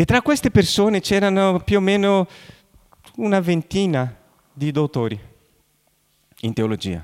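A high-pitched man with a Brazilian accent, very wide pitch swings, a fairly slow pace and long, frequent pauses, in a dry, close sound with no echo. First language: Portuguese (speaking Italian). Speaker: pastor. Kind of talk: sermon. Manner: halting.

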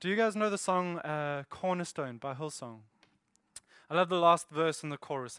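A fairly high-pitched man with a South African accent at a moderate pace, with ordinary pitch variation and big swings in loudness. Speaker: church elder and preacher. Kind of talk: sermon. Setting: church.

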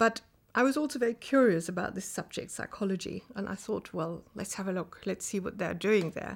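A woman with a German accent speaks at a fairly quick pace, her pitch medium and its variation ordinary. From Germany, Rhineland-Palatinate (Kaiserslautern). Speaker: professor. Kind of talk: interview.

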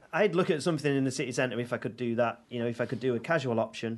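A man speaks. He has a Mancunian accent. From Manchester, England (Audenshaw). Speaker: chef and restaurateur. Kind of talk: casual chat.

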